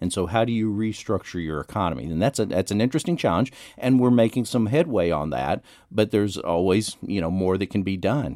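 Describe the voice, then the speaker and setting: In an American accent, the voice has a dark, mellow tone and lively intonation at a fairly quick pace, on a very clean recording with a silent background. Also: man, fairly low pitch for a man. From Texas, Dallas area. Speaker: economist and public policy professor. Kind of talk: radio interview.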